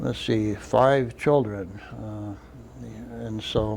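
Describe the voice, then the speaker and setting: A man talks at a very slow pace, with audible echo in the room. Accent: American. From Arizona (Crown King). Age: 70s. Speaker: local old-timer. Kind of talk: oral history interview. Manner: halting, many fillers.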